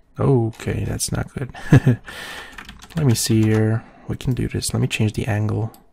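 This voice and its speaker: A quiet man speaks at a fairly slow pace with long, frequent pauses and big swings in loudness. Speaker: photoshop tutorial creator. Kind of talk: tutorial. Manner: casual.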